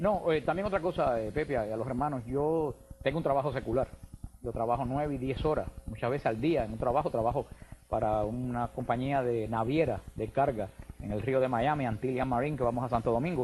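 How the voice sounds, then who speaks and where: Here a man talks with a Cuban accent at a fairly quick pace. His pitch is medium, with ordinary pitch variation. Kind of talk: radio/TV call-in interview.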